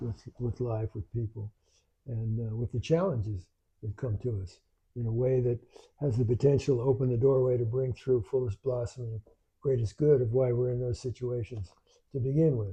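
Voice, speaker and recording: A man talks at a moderate pace and medium pitch. His voice is somewhat breathy, with fairly even intonation. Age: 80s+. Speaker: spiritual teacher, grandfather. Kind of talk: live spiritual talk. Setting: live stream at home with in-person viewers. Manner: reflective, halting with repetitions.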